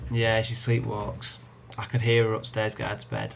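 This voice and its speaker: Quiet and very fast, a man with an English accent speaks in a flat monotone with vocal fry. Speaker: gaming streamer. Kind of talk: live gameplay commentary. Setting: home live stream at night. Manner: quiet, holding voice down.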